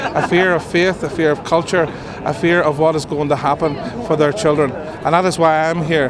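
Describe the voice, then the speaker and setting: A man with a Northern Irish accent talks at a fairly quick pace and a fairly high pitch, with fairly even intonation. Audible room echo and noticeable background noise are present. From Northern Ireland. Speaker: minister of religion. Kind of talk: street interview.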